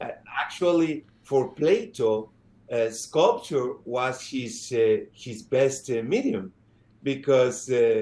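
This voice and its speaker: The speech comes at a very slow pace in a dark, mellow tone, with ordinary pitch variation and big swings in loudness. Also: man, medium pitch for a man. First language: not English. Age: 50s. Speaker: sculptor. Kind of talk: interview. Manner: halting, many fillers.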